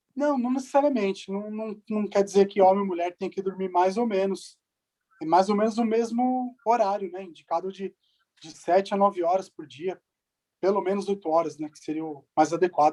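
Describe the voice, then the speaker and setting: A high-pitched man's voice with a dark, mellow tone, ordinary pitch variation and big swings in loudness. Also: moderate pace. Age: 40s. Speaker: physician. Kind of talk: Q&A talk.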